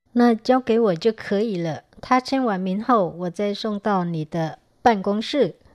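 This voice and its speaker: A woman speaks with hardly any pauses in an unremarkable speaking voice, medium in pitch with ordinary pitch variation. The sound is dry and close with no echo, over a quiet background. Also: fairly slow pace. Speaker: language teacher. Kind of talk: language lesson.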